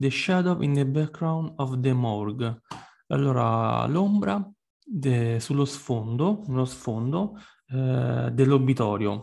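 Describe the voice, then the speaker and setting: A man's medium-pitched voice with lively intonation, a very slow pace, long and frequent pauses, and a quiet background. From Italy. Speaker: music explainer and song translator. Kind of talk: tutorial. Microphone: webcam.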